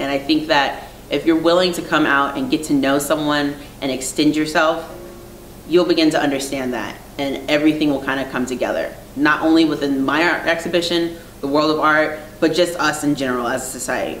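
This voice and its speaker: Over light background noise and audible room echo, a woman with an American accent speaks fairly quickly at a very deep, low pitch with fairly even intonation. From Virginia, US. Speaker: artist. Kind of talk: interview monologue. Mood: earnest, reflective. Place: home room.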